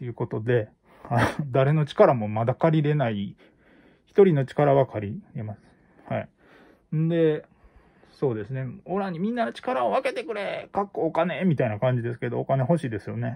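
With a Kansai accent, a man speaks at a moderate pace in a somewhat breathy, fairly high voice with a dark, mellow tone. He leaves long, frequent pauses against a quiet background. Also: lively intonation. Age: middle-aged. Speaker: YouTuber; livestream host. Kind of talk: casual monologue. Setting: at home. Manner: halting, many fillers. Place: home room. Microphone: phone near.

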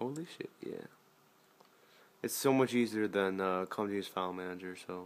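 A man talks at a moderate pace and a fairly low pitch, with ordinary pitch variation and long, frequent pauses. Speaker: gamer showing a console mod. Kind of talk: casual screen-recorded gaming commentary. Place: home room. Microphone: phone near.

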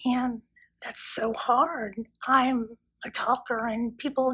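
A woman's raised, projected voice, high in pitch, with a bright, sharp tone. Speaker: person with a vocal disorder. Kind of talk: testimony. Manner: halting. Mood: earnest, emotional. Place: home room. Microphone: phone near.

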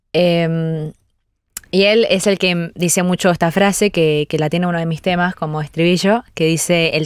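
With a Rioplatense accent, a woman with a fairly low pitch speaks at a moderate pace and fairly even intonation, in a dry sound with no echo over a quiet background. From Argentina. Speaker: singer; guest. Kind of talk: radio interview. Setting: radio studio. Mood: relaxed, thoughtful. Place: studio. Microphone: studio mic.

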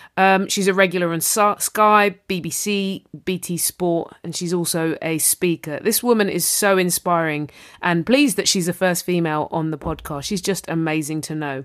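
A fairly low-pitched woman in a London accent, moderate pace, ordinary pitch variation, very clean recording with a silent background. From southeast London. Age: 30s. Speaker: podcast host. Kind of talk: podcast intro and casual chat. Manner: animated.

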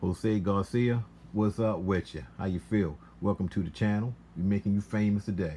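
Against light background noise, a man speaks at a fairly low pitch with ordinary pitch variation and a dark, mellow tone. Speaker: small fragrance seller. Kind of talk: casual vlog chat. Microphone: phone near.

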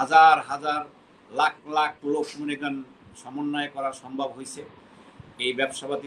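Light background noise sits behind a man whose pitch is fairly high. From Bangladesh. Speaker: expatriate businessman and insurance company chairman; interviewee. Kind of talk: interview, recounting his career. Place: home room. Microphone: video call.

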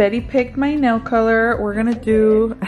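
Clear background noise sits behind the voice. The speech is at a moderate pace with fairly even intonation. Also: woman, fairly high pitch for a woman.

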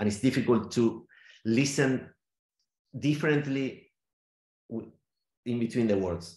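Very slow speech with audible room echo. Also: man. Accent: Spanish. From Argentina, Neuquén (Patagonia). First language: Spanish. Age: 40s. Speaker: theatre maker and sound artist. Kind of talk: interview. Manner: halting, many fillers and repetitions. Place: home room. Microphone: video call.

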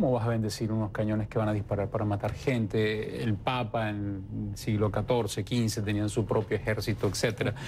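Against light background noise, a man with a fairly low pitch speaks in a monotone, flat way at a moderate pace with hardly any pauses. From Venezuela, Puerto Ordaz; Venezuela. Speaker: novelist; interviewee. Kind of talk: interview. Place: studio. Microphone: lapel.

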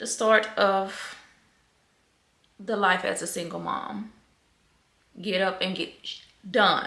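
A woman's flat, monotone voice at a very slow pace, with audible room echo. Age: 30s. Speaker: cosmetologist. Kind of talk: casual vlog talk to camera. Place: kitchen.

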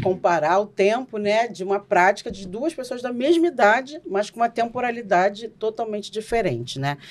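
A woman talks at a moderate pace. She leaves hardly any pauses. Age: 40s. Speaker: Umbanda priestess and podcast host. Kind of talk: casual podcast discussion on religion. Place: studio. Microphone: studio mic.

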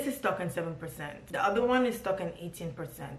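The voice has ordinary pitch variation, with audible room echo and light background noise. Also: woman. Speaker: vlogger. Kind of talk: casual vlog chat. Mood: mildly frustrated, then resigned. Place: home room. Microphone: phone near.

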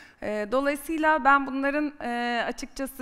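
A woman over a quiet background. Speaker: marketing executive; guest, sales executive. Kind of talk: personal career story on stage. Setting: conference stage with audience. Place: stage. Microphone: headset.

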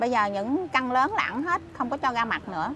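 A woman's high-pitched voice, dry with no echo, over light background noise. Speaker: interviewee. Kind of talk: interview answer. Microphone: lapel.

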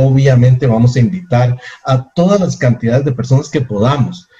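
Somewhat breathy and dark, mellow in tone, a man speaks at a medium pitch with ordinary pitch variation. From Costa Rica. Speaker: network marketing presenter. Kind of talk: sales pitch. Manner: animated.

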